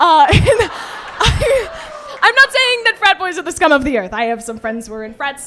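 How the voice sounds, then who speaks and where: A woman with an American accent speaks in a raised, projected voice at a moderate pace with very wide pitch swings, over noticeable background noise. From US Midwest, St. Louis. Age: 20s. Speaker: stand-up comedian, college student. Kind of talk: stand-up. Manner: hesitant, many fillers.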